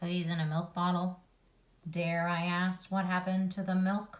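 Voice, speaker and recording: A female-sounding voice puts on a character at a middle pitch. Delivery is monotone and flat at a moderate pace. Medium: read story. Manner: fretful, exasperated.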